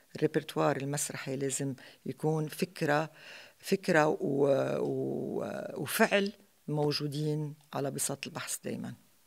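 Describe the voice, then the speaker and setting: A woman's very deep, low voice with vocal fry, ordinary pitch variation and a fairly slow pace. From Lebanon. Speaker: theatre actress. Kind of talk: interview. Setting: stage with audience. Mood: calm, reflective. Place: hall. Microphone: studio mic.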